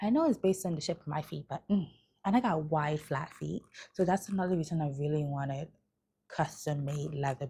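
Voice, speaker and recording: Soft-spoken and somewhat breathy, a woman is whispering on a very clean recording with a silent background. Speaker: travel and shopping vlogger. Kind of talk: casual haul vlog. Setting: at home late at night.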